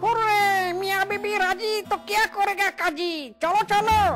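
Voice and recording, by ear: A cartoonish character voice, extremely high in pitch, at a fairly slow pace amid loud background noise.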